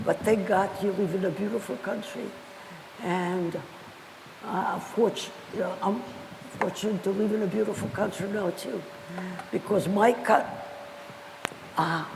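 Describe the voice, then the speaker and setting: With music in the background and audible room echo, a woman speaks at a moderate pace in a medium pitch, her intonation fairly even and her speech broken by long, frequent pauses. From Belarus. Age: 90s. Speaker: Holocaust survivor. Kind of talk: testimony. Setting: school assembly.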